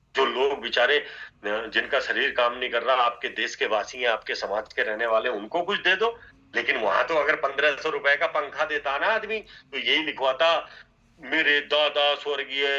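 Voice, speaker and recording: Lively intonation marks a voice with a bright, sharp tone. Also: man, fairly high pitch for a man. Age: 60s. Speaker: network marketing trainer. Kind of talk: motivational training talk.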